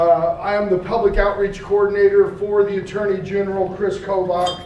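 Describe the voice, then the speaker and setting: At a moderate pace, a man talks in a high pitch, with audible room echo and noticeable background noise. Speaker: state attorney general's public outreach coordinator. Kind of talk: public talk.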